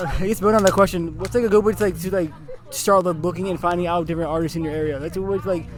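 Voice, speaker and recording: Over music in the background, a man talks at a very fast pace with a high pitch and fairly even intonation. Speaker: interviewer. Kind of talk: interview questions.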